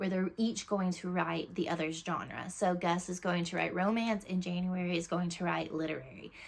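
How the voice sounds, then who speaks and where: Her intonation fairly even, a woman with a fairly low voice speaks at a moderate pace. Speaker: book reviewer. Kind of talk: casual chat.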